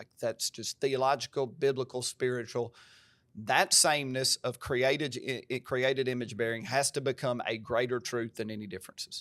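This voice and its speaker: Recorded very cleanly with a silent background and a dry, close sound with no echo, a man with an American accent talks at medium pitch, moderate pace, and fairly even intonation. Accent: country twang. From US South, Covington (Tennessee). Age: 40s. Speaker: pastor. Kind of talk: podcast conversation. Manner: emphatic.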